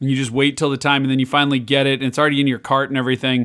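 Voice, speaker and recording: A man speaks with a fairly high pitch. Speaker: podcast host. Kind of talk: casual chat. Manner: profane, casual.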